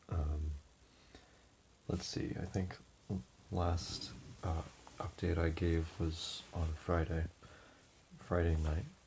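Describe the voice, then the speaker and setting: A quiet, somewhat breathy man's voice, very deep and low, very slow and monotone, with very even loudness and long, frequent pauses. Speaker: vlogger giving personal updates. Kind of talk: casual personal update. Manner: hesitant, many fillers.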